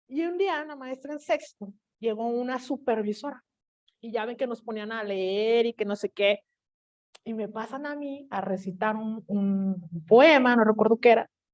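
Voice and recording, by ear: Fairly slow, fairly high speech from a woman with a French accent and ordinary pitch variation. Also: big swings in loudness. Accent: French-tinged Spanish pronunciation.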